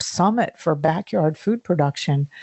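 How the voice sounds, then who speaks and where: A woman speaks at a moderate pace in a normal speaking voice. Her intonation is lively. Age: 60s. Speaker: founder of a backyard food production network. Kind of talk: podcast interview.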